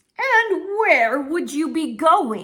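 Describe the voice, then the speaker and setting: A female-sounding put-on character voice comes through in a high pitch. It makes very wide pitch swings. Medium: read story. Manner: gentle, serious.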